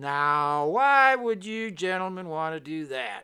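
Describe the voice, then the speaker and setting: Putting on a character voice, a man speaks at a high pitch and a fairly slow pace, with very wide pitch swings. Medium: read story.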